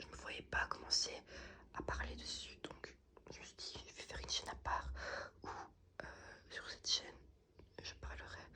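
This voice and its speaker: A woman whispers at a fairly slow pace, with long, frequent pauses and big swings in loudness. There is noticeable background noise behind her. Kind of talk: casual talk to camera, ASMR channel update. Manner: soft-spoken, ASMR style.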